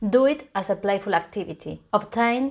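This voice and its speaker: A woman speaks in a Spanish accent at a moderate pace. Her pitch variation is ordinary, and the background is quiet. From Argentina, Buenos Aires. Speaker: software tester and conference speaker; conference speaker. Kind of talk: conference talk.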